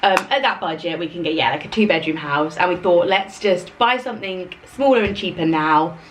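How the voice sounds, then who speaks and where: A woman's fairly low voice with lively intonation and hardly any pauses, over noticeable background noise. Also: fairly quick pace. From London, England. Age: 30s. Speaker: lifestyle vlogger. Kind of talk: casual chat. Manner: casual, filler-heavy.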